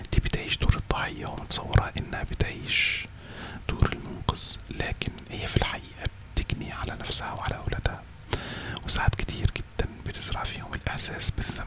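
A soft-spoken man whispering over loud background noise. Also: moderate pace. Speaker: content creator. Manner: close soft ASMR whisper. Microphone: studio mic.

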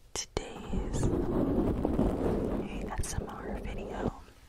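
A woman speaks. She is whispering. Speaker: ASMR content creator. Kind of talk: ASMR video, casual talk to camera. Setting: home recording with close microphone. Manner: whispered. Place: home room. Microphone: studio mic.

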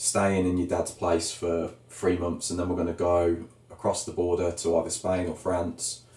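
Here a man with a Birmingham accent speaks at a moderate pace in a very deep, low pitch with monotone, flat intonation. His dark, mellow tone is somewhat breathy, and audible room echo surrounds it. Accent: Birmingham (Brummie) English. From Birmingham, England. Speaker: YouTube vlogger planning emigration. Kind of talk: casual chat. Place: home room. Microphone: camera far.

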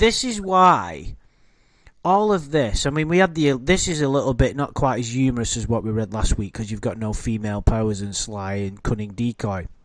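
With a British accent, a man talks at a fairly quick pace in a medium pitch, his voice swinging very widely in pitch against a quiet background. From Britain. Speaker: YouTube commentary host. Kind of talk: casual livestream chat. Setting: online livestream with chat.

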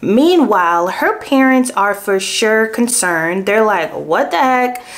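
Pitch varies in an ordinary way as the speaker goes at a fairly slow pace. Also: woman. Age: 20s. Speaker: true crime youtuber. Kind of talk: true crime storytelling. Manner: casual, conversational. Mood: animated, engaged. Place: home room.

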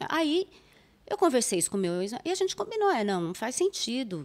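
A woman is speaking. Her pitch swings very widely. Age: 50s. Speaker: psychologist and psychoanalyst; psychoanalyst. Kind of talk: interview conversation. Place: studio. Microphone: studio mic.

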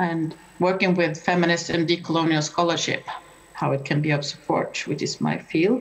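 This is an ordinary speaking voice. It moves at a moderate pace with fairly even intonation. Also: woman, fairly low pitch for a woman. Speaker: professor of environmental history. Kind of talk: conference talk. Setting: video call. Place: home room. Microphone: video call.

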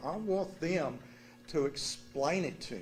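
The speaker is a man with a Texan accent. His voice is somewhat breathy. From Texas, Dallas. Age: 60s. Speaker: resident speaking at council meeting. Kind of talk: public comment.

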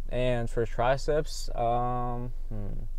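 The sound is dry with no echo. Pitch variation is ordinary. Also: man. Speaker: gym vlogger. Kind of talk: casual vlog chat. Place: car. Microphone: lapel.

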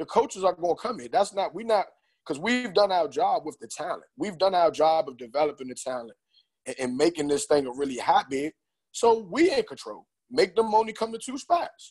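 Over a quiet background, a man talks at a fairly quick pace in a high-pitched voice. His pitch swings very widely and his loudness rises and falls sharply. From Prince George's County, Maryland; Maryland. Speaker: AAU basketball coach. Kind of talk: casual panel discussion. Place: home room. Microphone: earbuds.

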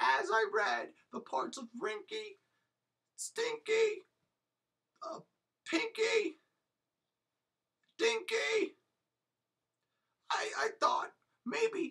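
In a cartoonish character voice pitched extremely high, the words come very slowly with long, frequent pauses. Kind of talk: comic overacting. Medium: puppet show. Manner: eager, salesy, boastful.

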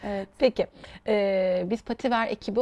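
Her voice has a dark, mellow tone, and this woman's pitch varies in an ordinary way. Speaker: TV show host. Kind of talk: interview. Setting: studio. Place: studio. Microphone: lapel.

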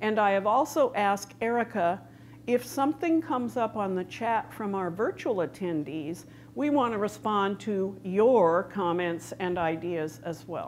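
A woman speaks with lively intonation. Light background noise is present. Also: fairly slow pace. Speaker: conference presenter. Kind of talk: lecture. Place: stage. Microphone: lapel.

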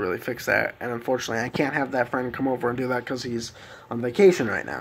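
A man talking at a very fast pace. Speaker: vlogger. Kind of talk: casual vlog chat. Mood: mildly frustrated, explaining. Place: home room.

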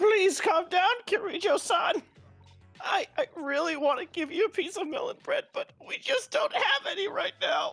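Someone shouts at an extremely high pitch and a moderate pace, with faint music in the background. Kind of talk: comic overacting. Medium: fan dub. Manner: frantic, pleading, shouting.

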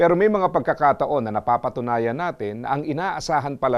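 Using lively intonation and a moderate pace, a man with an unremarkable speaking voice talks at a medium pitch. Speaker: motivational speaker. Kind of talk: scripted inspirational talk.

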